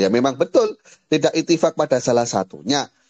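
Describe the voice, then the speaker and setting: A man's fairly high, gravelly voice with vocal fry, swinging very widely in pitch at a very fast pace, dry and close with no echo. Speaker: Islamic teacher. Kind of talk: lecture.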